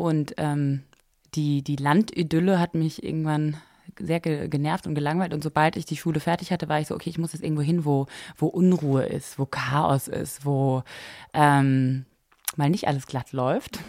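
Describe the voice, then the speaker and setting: On a very clean recording with a silent background, a woman with a very deep, low pitch speaks at a moderate pace with fairly even intonation. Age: 20s. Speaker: fashion blogger and entrepreneur. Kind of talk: casual chat. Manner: many fillers and hesitations.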